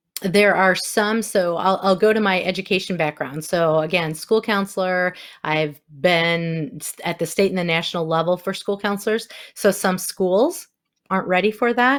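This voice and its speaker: Recorded very cleanly against a silent background, a woman with a Wisconsin accent speaks at a moderate pace and medium pitch. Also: ordinary pitch variation. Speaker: inclusion consultant and former school counselor. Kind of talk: podcast interview.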